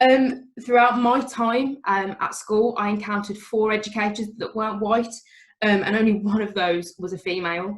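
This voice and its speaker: In a strong Birmingham accent, this speaker talks at a moderate pace with fairly even intonation. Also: woman, fairly high pitch for a woman. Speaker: teacher. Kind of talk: talk at an online event.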